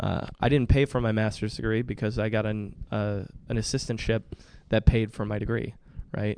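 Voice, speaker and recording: In an American accent, a man delivers monotone, flat intonation at a fairly low pitch and a moderate pace. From Michigan, northwest of Detroit. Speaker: nonprofit executive director. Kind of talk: interview.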